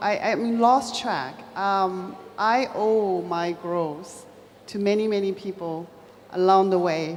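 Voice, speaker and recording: Amid noticeable background noise and audible room echo, a woman with a Chinese accent speaks at a medium pitch with fairly even intonation. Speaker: business executive. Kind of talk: panel discussion.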